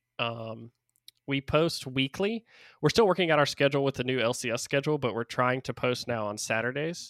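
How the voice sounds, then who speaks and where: On a very clean recording with a silent background and a dry, close sound with no echo, a man talks at a fairly quick pace and medium pitch with ordinary pitch variation, in a normal speaking voice. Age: 30s. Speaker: esports podcaster. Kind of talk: casual chat.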